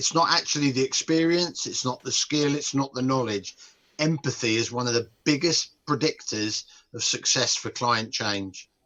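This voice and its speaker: A man with a British accent talks at a moderate pace and a medium pitch. His tone is bright and sharp, with ordinary pitch variation. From UK. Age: 60s. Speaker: nutrition and behaviour change expert. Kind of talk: podcast interview.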